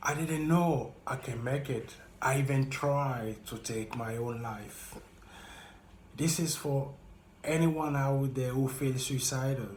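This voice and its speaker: With audible room echo, a man speaks at a very slow pace, somewhat breathy, with fairly even intonation. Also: medium pitch for a man. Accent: French. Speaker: vlogger sharing personal experience. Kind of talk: motivational monologue.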